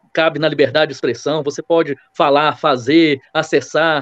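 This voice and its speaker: In a Minas Gerais accent, a man talks with a fairly high pitch. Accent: Minas Gerais Brazilian Portuguese. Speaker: lawyer. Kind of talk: podcast debate opinion.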